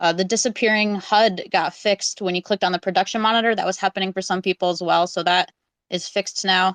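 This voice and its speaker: Speaking at a very fast pace, a woman holds a medium pitch in monotone, flat intonation. The sound is dry and close with no echo against a quiet background. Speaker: community AMA emcee. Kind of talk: community update livestream. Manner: loud.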